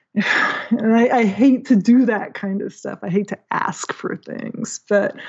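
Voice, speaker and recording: A woman's fairly high-pitched voice at a very slow pace with fairly even intonation. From small town. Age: 50s. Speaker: watercolor painter and online art creator. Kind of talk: casual interview chat.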